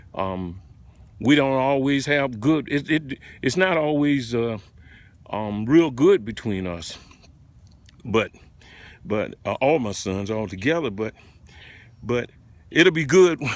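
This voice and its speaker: A man speaks very slowly at a medium pitch, with long, frequent pauses. His intonation is lively. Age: 70s. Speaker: retired man sharing spiritual reflections. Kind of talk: casual live-stream monologue. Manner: halting, many fillers and repetitions.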